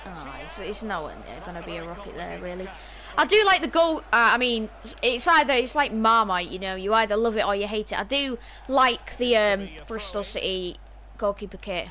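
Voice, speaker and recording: With a northern English accent and a fairly high pitch, a woman talks at a fairly quick pace with lively intonation against noticeable background noise. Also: big swings in loudness. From northern England. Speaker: gaming YouTuber. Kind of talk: gameplay commentary. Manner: casual, chatty with hesitations.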